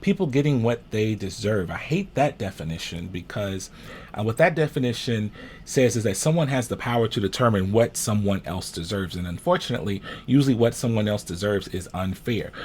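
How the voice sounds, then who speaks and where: Lively intonation marks this man's unremarkable speaking voice, pitched fairly low and moving at a fairly quick pace. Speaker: minister and social justice commentator. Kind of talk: Patreon discussion talking to camera about civil rights.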